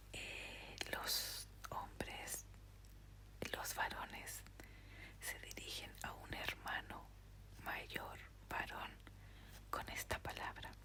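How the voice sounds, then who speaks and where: Someone whispers at a very slow pace with long, frequent pauses. Background noise is noticeable. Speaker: podcast host. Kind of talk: sleep story reading. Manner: whispered.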